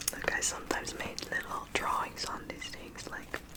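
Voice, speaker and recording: Whispering at a moderate pace, a woman can be heard over noticeable background noise. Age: 30s. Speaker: ASMR creator. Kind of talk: ASMR quote reading and rambling. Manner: soft-spoken, whispered.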